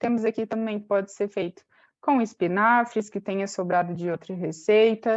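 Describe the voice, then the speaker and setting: Using a normal speaking voice, a woman holds a medium pitch, varies it in an ordinary way, and keeps a moderate pace. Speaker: nutrition educator. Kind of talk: webinar presentation.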